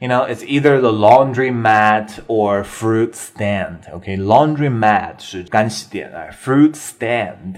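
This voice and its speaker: Very slow delivery with ordinary pitch variation. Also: man, medium pitch for a man, hardly any pauses. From China. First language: Mandarin Chinese. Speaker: English teacher podcaster. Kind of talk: bilingual English lesson talk show. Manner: casual, mixes Chinese and English.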